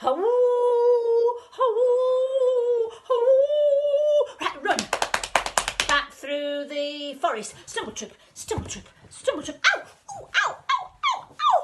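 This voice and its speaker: Over noticeable background noise, a woman talks at a very slow pace. Her extremely high voice swings very widely in pitch. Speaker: grandmother reading to grandchildren; former school storyteller. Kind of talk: children's storytime reading. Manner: warm, playful, expressive, interactive.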